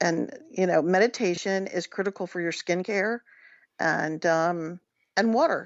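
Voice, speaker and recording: At a moderate pace, a woman with an American accent speaks in an unremarkable speaking voice of medium pitch. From Washington DC area. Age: 60s. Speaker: psychic. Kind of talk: interview.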